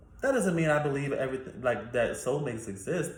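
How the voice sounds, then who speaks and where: A man speaks with audible room echo. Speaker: YouTuber. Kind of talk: casual Q&A monologue.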